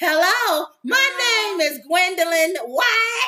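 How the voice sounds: A man uses a put-on character voice with an extremely high pitch. He speaks at a very slow pace.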